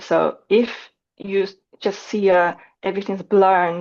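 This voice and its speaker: Speaking fairly slowly with a Chinese accent, a woman uses a medium pitch. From China. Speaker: data visualisation designer. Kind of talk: interview. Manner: halting.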